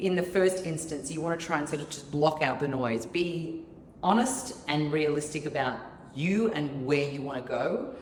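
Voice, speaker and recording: At a moderate pace, a woman with an Australian accent and a very deep, low voice uses lively intonation, with audible room echo and noticeable background noise. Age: 40s. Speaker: fitness studio founder. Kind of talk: interview.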